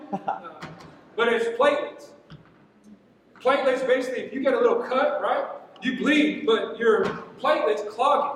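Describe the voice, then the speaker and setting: At a moderate pace, an intense, passionate tone with ordinary pitch variation carries audible room echo and noticeable background noise. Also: man, extremely high pitch for a man. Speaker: military veteran and patient giving testimony. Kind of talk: testimony talk.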